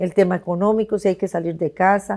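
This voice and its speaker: This woman's voice has a dark, mellow tone. Her pitch rises and falls in an ordinary way. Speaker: presidential candidate. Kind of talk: interview. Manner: halting.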